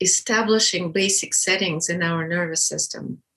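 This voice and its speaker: The speaker talks at a fairly slow pace in a Russian accent. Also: woman. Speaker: birth educator. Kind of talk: interview.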